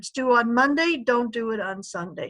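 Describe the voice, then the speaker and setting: A woman's fairly high, ordinary speaking voice at a moderate pace, with ordinary pitch variation and a dry, close sound with no echo. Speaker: librarian giving a tutorial. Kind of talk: tutorial.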